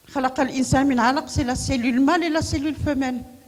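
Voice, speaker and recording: Here a woman speaks at a high pitch. Her pace is moderate. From Morocco, Marrakech. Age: 70s. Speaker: women's rights activist. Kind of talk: conference talk. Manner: animated.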